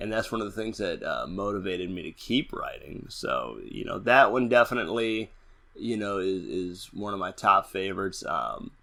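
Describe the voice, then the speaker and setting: A man speaks with a New Orleans accent. His pace is moderate. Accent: New Orleans, d for th. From New Orleans, Louisiana. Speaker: horror fiction author. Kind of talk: interview.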